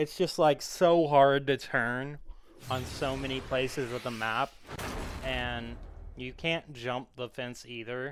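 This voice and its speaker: The speaker talks at a very slow pace with fairly even intonation. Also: man, medium pitch for a man. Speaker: gaming video creator. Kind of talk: gameplay commentary. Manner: mumbling at times; casual, conversational.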